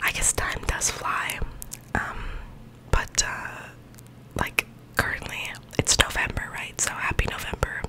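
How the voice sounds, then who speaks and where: A woman speaks at a moderate pace. Loud noise runs in the background. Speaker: vlogger. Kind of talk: soft casual vlog chat. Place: home room. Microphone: studio mic.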